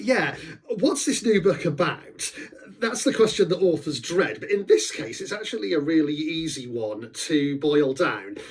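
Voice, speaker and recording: Over noticeable background noise, a man with a high voice talks at a moderate pace, his pitch swinging very widely. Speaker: author. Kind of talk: casual talk about his book.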